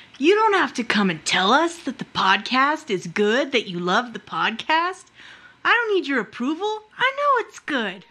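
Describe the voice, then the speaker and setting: A put-on character voice, female-sounding and high-pitched, swings very widely in pitch at a moderate pace. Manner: arrogant.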